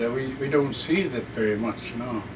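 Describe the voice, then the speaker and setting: Noticeable background noise sits behind a man speaking at medium pitch. His pace is fairly slow. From Alaska. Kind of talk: oral history interview answer.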